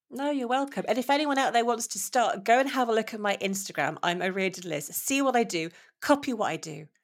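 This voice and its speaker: Speaking very fast with a British accent, a woman with a fairly high pitch makes very wide pitch swings. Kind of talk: interview conversation. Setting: remote call.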